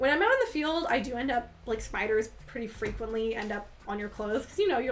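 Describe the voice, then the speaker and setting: Over noticeable background noise, a woman with a fairly high pitch talks in an animated tone at a very fast pace. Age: 20s. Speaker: livestreamer. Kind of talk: casual chat. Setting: livestream.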